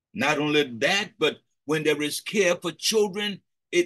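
A man speaks in a raised, projected voice with a bright, sharp tone and ordinary pitch variation against a quiet background. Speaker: preacher leading a prayer session. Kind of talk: sermon. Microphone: video call.

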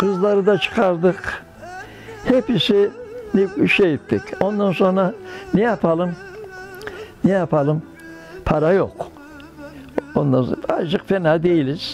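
A man speaks at a very slow pace in a high pitch, with ordinary pitch variation and very even loudness. Long, frequent pauses break up his speech as faint music plays in the background. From Karapınar, Konya, Turkey. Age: 80s+. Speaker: tailor. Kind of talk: interview answer. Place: home room. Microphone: lapel.

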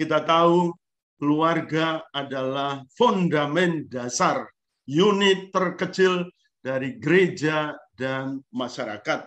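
Against a quiet background, a man with a fairly high pitch and ordinary pitch variation speaks at a very slow pace. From Eastern Indonesia, Lembata (Flores region); Eastern Indonesia. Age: 60s. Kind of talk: lecture. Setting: video call. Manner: animated. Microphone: video call.

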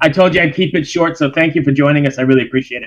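Talking at a very fast pace, a man has a fairly high voice with ordinary pitch variation.

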